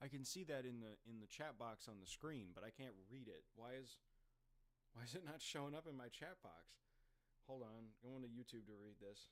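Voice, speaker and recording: A man talks at a moderate pace. His medium pitch shows ordinary variation. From Virginia, US. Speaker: streamer. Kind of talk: casual live-stream chat. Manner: halting, repetitive filler.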